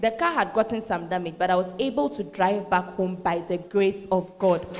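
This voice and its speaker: A woman talks at a medium pitch while noticeable background noise carries on. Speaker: church emcee reading testimonies. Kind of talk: enthusiastic announcing.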